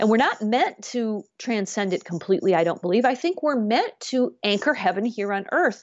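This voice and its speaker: A fairly high-pitched woman with a US Midwestern accent, lively intonation, a moderate pace and hardly any pauses. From US Midwest, Grand Rapids, Michigan. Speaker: business coach and radio host. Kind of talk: interview conversation. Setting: remote or studio podcast recording, not video.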